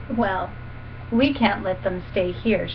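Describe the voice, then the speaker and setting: A female-sounding, put-on character voice rumbles at medium pitch. Background noise is clearly heard. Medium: read story. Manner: grumbling.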